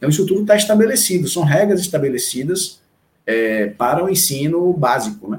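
This man's pitch is high and swings very widely. He talks at a fairly quick pace. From Salvador, Bahia, Brazil. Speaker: education official. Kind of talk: interview. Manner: halting.

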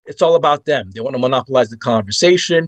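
Here is an ordinary speaking voice from a man, fairly quick and with lively intonation. The sound is dry and close with no echo, over a quiet background. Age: 50s. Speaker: author and astrology guest. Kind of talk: casual interview.

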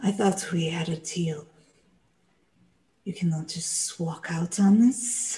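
A woman puts on a character voice, fairly low in pitch, menacing and hissing. She goes at a fairly slow pace with long, frequent pauses. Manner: menacing, insistent.

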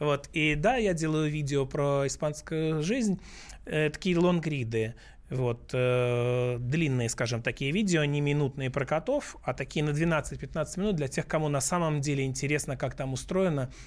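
A plain, everyday voice comes at a moderate pace with ordinary pitch variation and very even loudness, on a very clean recording with a silent background. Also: man, fairly high pitch for a man. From Russia. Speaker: businessman and blogger, book author. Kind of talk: radio interview. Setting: radio studio.

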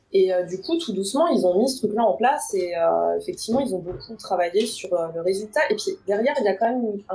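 An unremarkable speaking voice with lively intonation. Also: woman. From Paris region, France. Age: 30s. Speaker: recruiter. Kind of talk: interview.

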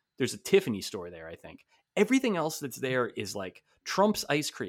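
In a very clean recording with a silent background, a man with an American accent and vocal fry speaks with very wide pitch swings. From New Jersey. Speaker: sports writer and podcast co-host. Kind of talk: casual chat.

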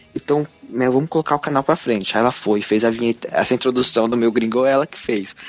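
A man's medium-pitched, very fast speech with fairly even intonation, dry and close with no echo, music in the background. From Brazil, São Paulo city. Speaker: YouTuber living abroad. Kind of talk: interview, casual chat.

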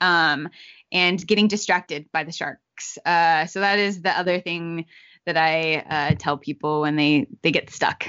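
Delivered at a moderate pace, the speech is in an unremarkable speaking voice with ordinary pitch variation. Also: woman. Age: young. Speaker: racial equity communications director and magazine editor. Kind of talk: interview conversation.

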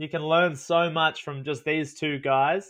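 The speaker is a man with an Australian accent. His pitch is fairly high. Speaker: travel content creator. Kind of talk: casual chat. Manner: animated.

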